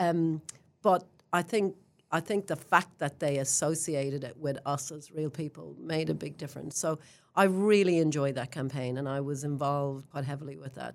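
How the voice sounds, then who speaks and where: With an Irish accent, a woman speaks at a moderate pace. Her pitch is very deep and low, with ordinary variation. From Ireland. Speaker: real estate general manager. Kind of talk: interview.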